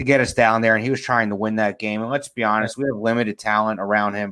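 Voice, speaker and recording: An ordinary speaking voice from a man, medium in pitch, with fairly even intonation. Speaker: podcast co-host. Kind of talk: casual chat. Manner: joking, casual.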